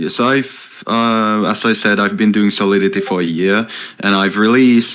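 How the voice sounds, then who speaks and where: A man with a Finnish accent, fairly low pitch and moderate pace. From Finland. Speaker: software developer. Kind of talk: casual chat. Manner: lively.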